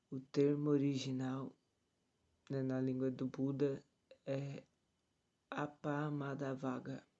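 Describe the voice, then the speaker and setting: Soft-spoken and very slow, a man talks in a fairly high pitch with a dark, mellow tone, flat monotone intonation, and long, frequent pauses. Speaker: tai chi teacher. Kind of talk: reading aloud with commentary, meditation livestream. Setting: livestream from someone else's home. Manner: soft-spoken, quiet. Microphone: phone mic, speaking close to it.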